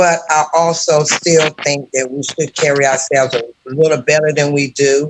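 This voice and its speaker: Talking at a moderate pace, a man with a fairly high pitch uses a normal speaking voice and fairly even intonation. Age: 50s. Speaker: caller on live show. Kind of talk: casual chat.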